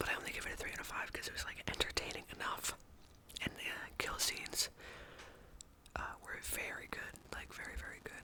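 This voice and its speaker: The speaker whispers at a fairly quick pace. There is noticeable background noise. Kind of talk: casual ASMR rambling about movies. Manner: whispered.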